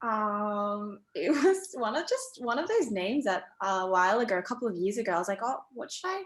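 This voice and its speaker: A woman with a fairly high pitch and an Australian accent, speaking at a fairly quick pace with very wide pitch swings and hardly any pauses. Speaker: writer and community founder. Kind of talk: casual chat.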